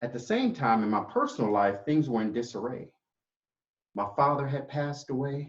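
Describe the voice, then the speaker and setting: Somewhat breathy, a man talks at a moderate pace with a fairly high pitch and ordinary pitch variation. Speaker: public speaker. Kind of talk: inspirational storytelling speech.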